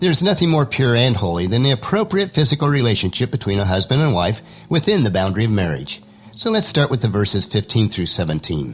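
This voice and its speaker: Talking at a very fast pace, a man with a medium pitch shows vocal fry, very wide pitch swings and very even loudness. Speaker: Bible teaching podcaster. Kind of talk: devotional podcast talk. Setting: home studio.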